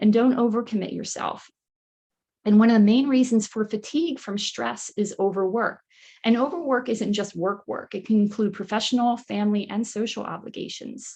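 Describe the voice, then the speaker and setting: Fairly high-pitched female voice, somewhat breathy, with a dark, mellow tone and fairly even intonation. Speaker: nutrition counselor and wellness coach. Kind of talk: online workshop presentation. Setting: live online workshop. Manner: fast.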